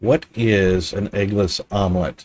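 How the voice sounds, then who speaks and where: Fairly low in pitch, a man talks in an American accent. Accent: American, barely any Aussie. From United States. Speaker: live streamer. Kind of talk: casual live stream chat.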